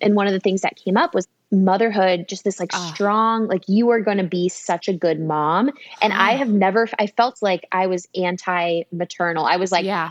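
A woman's medium-pitched voice with an American accent, ordinary pitch variation and a moderate pace, dry and close with no echo. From San Diego, California. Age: 30s. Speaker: food company founder. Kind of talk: casual chat. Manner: animated.

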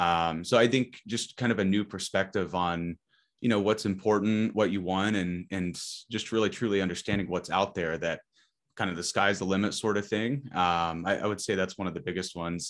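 An ordinary speaking voice from a man with an American accent, fairly low in pitch, fairly even in intonation and fairly quick in pace. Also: quiet background. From Indiana, small town. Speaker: podcast guest. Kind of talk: casual chat.

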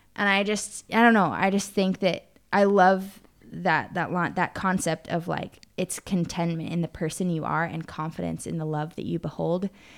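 A woman talks at a moderate pace with fairly even intonation. Her recording is very clean, with a silent background. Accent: American. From Arizona. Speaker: podcast co-host. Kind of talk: casual chat.

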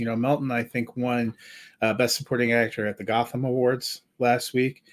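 Over a silent background in a very clean recording, a man talks in a plain, everyday voice. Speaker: movie podcast host. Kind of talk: casual chat.

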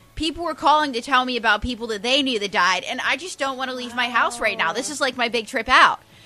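A squeaky voice rushes along at a very fast pace with hardly any pauses and ordinary pitch variation. Noticeable background noise sits behind it. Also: woman, high pitch for a woman. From Pittsburgh area, Pennsylvania. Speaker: stand-up comedian. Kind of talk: casual chat.

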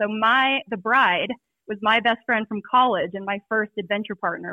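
A woman speaks at a moderate pace with a fairly high pitch in an unremarkable speaking voice. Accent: American. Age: 30s. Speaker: pro mountain biker and packrafter. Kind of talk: casual interview.

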